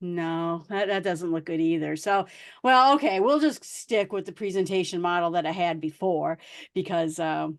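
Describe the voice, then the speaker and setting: In an American accent, a woman with a fairly low pitch uses an ordinary speaking voice, with ordinary pitch variation, a moderate pace and a quiet background. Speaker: guest speaker, tech podcaster. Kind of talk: presentation talk.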